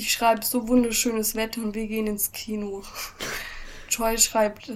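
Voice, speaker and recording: A woman talks at a fairly slow pace with a fairly high pitch. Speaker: podcast co-host. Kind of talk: casual chat. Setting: at home. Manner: frequent laughing.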